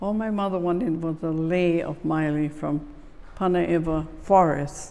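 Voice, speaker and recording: A woman speaks at a fairly low pitch with fairly even intonation. Room echo is audible. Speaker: oral history interviewee. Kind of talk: oral history interview. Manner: halting.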